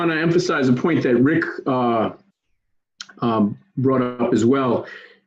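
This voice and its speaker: In a New York accent, a man speaks with very even loudness and ordinary pitch variation, leaving long, frequent pauses. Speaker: advocacy organizer. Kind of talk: training session. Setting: video call. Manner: fast-paced.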